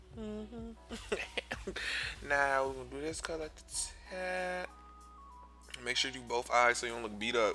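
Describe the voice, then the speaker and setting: A man's speech with long, frequent pauses over music in the background. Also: moderate pace. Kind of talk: comedic voiceover commentary over a makeup tutorial. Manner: sassy, loud, exaggerated, profane.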